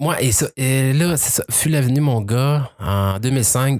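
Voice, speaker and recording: On a very clean recording with a silent background and a dry, close sound with no echo, a man talks at a medium pitch with ordinary pitch variation. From Quebec. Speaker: adoptee telling his story. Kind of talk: casual interview. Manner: halting, repeats words.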